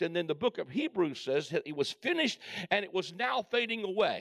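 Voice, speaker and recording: With a dry, close sound and no echo, a man speaks at a fairly quick pace. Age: 60s. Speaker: preacher and Bible teacher. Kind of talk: sermon. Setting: church with live congregation. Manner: animated.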